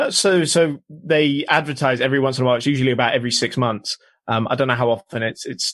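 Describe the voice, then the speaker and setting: With a British accent, a man speaks at medium pitch with ordinary pitch variation, in a dry, close sound with no echo against a quiet background. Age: 20s. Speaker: motorsport journalist. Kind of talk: casual chat. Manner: hesitant, many ums.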